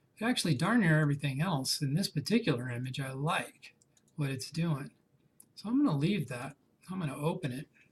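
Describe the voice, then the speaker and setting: A somewhat breathy man's voice, fairly high in pitch, with lively intonation and a fairly quick pace. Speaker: photography instructor. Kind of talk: tutorial. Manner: casual.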